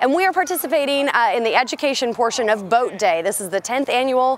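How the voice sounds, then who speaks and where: Light background noise accompanies a woman's high voice, fairly quick in pace, with a dry sound and no echo. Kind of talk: interview answer. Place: waterside.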